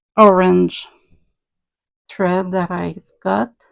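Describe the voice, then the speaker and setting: A woman speaks with a French Canadian accent. The sound is dry and close, with no echo. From French Canada. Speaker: crafter, cross stitcher. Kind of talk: casual talk to camera.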